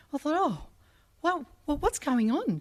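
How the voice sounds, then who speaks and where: Moving at a moderate pace, a woman's speech swings very widely in pitch. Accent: Australian. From Sydney, Australia. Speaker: journalist, ambassador. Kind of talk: speech at a public ceremony. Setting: stage with audience in a pavilion, live streamed. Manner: animated, with many fillers.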